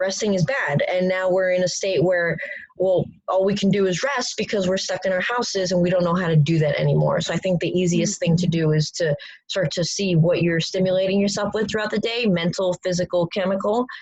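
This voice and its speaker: The speaker talks at a fairly quick pace, with fairly even intonation and very even loudness. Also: woman, medium pitch for a woman. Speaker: strength coach. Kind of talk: online coaching presentation. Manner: fast.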